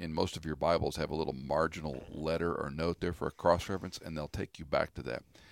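A man talks very fast in a very deep, low voice with vocal fry. His pitch varies in an ordinary way, and the sound is dry and close with no echo. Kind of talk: conversational biblical teaching. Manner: explanatory.

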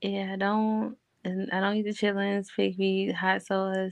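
Very slowly, a woman speaks. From Baltimore, US. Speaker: podcast guest. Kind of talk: casual chat.

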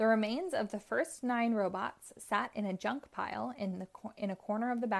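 This is plain reading aloud. Nothing else is marked.

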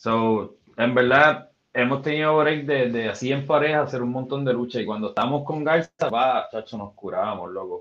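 A man with a normal speaking voice talks at a moderate pace and medium pitch, with ordinary pitch variation and hardly any pauses. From Puerto Rico, west. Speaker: former professional wrestler and musician. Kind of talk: casual interview.

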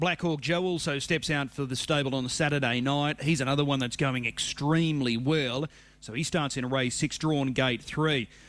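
With an Australian accent, a man speaks at a moderate pace and a fairly high pitch, with ordinary pitch variation. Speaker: harness racing radio host. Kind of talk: radio interview.

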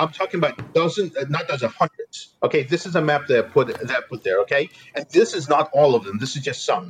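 Music plays in the background as a man speaks. He moves at a fairly quick pace with hardly any pauses. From Eastern Ukraine. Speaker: journalist. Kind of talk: interview. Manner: halting, with fillers and repetitions.

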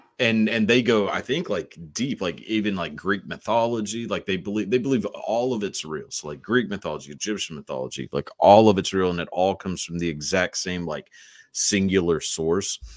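A man with an American accent uses a normal speaking voice, fairly low in pitch with ordinary pitch variation, moving at a fairly quick pace with hardly any pauses. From Texas. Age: 20s. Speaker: podcast host. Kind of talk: casual chat.

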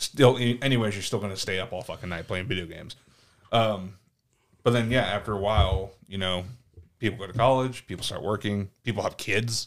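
This man has a normal speaking voice at a fairly low pitch. He speaks at a fairly quick pace with fairly even intonation and big swings in loudness. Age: 30s. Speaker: podcast co-host, host's cousin. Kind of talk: casual chat.

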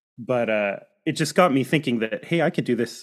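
Here a man speaks at a medium pitch in a Pacific Northwest accent. The recording is very clean, with a silent background. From US Pacific Northwest, Seattle suburbs. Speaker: birding guide and church historian. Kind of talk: casual interview. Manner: halting, many fillers.

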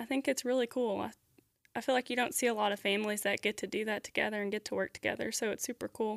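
Speaking at a very fast pace, a woman has a fairly high pitch and fairly even intonation, recorded with dry, close sound and no echo. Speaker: guest girlfriend. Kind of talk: casual interview chat. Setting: studio.

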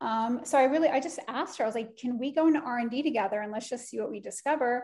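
This woman's voice sits at a high pitch. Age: 40s. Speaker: skincare brand co-founder, former beauty editor. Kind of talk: interview.

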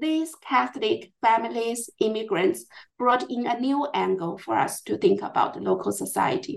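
The speaker talks at a moderate pace with a Chinese accent. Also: woman. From China, Chongqing. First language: Mandarin Chinese. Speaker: historian. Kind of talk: interview. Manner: halting.

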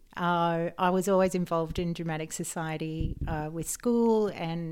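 With an Australian accent, a woman speaks at a moderate pace in a fairly low voice on a very clean recording with a silent background. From rural New South Wales, Australia. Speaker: health coach. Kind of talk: casual interview.

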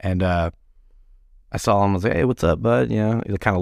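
A very fast voice with an American accent comes through on a very clean recording with a silent background. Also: man. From Texas (Garland, Dallas area). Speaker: bar owner and former band singer. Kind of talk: casual interview. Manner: halting, many fillers.

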